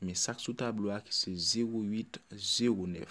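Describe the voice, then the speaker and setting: The man's voice sits at a fairly low pitch with fairly even intonation. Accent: Haitian. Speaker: bingo number caller. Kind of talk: bingo number calling.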